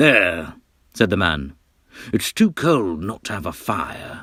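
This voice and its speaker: Using a put-on character voice, a man talks at a fairly slow pace with a fairly low pitch. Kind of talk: children's story reading.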